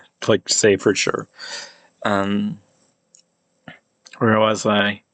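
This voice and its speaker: Speaking in an American accent, a man goes at a very slow pace. His intonation stays monotone and flat. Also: fairly low pitch for a man, dry, close sound with no echo. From United States. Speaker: amateur linguist / YouTuber. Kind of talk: pronunciation demonstration monologue. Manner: halting, many fillers and restarts.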